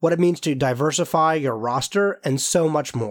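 At a moderate pace, a man with a normal speaking voice talks at a fairly high pitch. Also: very clean recording, silent background. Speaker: student podcast host. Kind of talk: scripted narration.

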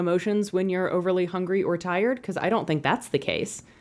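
Here is an unremarkable speaking voice with fairly even intonation. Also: woman. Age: 30s. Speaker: podcast co-host. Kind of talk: casual chat.

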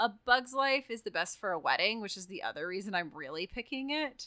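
A woman with an American accent talks at a fairly high pitch with a bright, sharp tone. Her voice swings very widely in pitch and shows vocal fry. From Texas. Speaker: podcast co-host. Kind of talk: casual chat.

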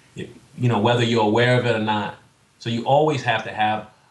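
A man's medium-pitched voice with a New York accent and ordinary pitch variation, over noticeable background noise. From Staten Island, New York. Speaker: entrepreneur, fitness coach, navy veteran. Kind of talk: casual interview chat.

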